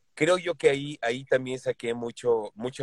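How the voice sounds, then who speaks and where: A man with a Mexican accent talks at a moderate pace with ordinary pitch variation, the sound dry and close with no echo. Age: 60s. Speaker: voice actor. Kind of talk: casual interview.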